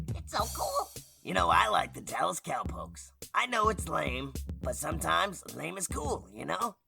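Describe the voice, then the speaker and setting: A put-on character voice is used here. It moves at a moderate pace. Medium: audio drama. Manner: excitable, rambling.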